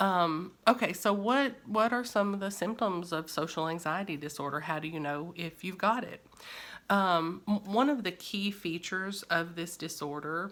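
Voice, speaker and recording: A woman speaks in a strong Kentucky accent at a moderate pace. Her pitch is fairly low and varies an ordinary amount. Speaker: therapist. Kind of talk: educational talk. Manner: frequent fillers and false starts.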